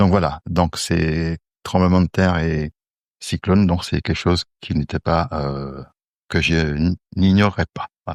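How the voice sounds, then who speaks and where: Fairly even intonation at a very slow pace, in a dry, close, very clean recording with no echo and a silent background. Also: man, very deep, low pitch for a man. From Guadeloupe. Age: 60s. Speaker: civil servant. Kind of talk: testimony. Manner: hesitant, many fillers.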